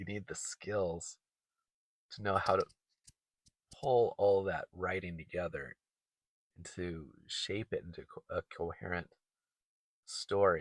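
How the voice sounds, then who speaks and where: Dry, close sound with no echo, a very slow pace, long and frequent pauses, and big swings in loudness. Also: man. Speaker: writer vlogger. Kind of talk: casual talk to camera. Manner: stuttering, halting; hesitant with fillers.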